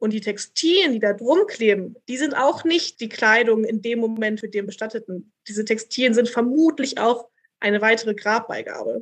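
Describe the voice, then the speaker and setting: In an unremarkable speaking voice, this woman keeps a moderate pace. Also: fairly high pitch for a woman, ordinary pitch variation. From Berlin. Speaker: doctoral researcher in textile archaeology. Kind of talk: casual interview.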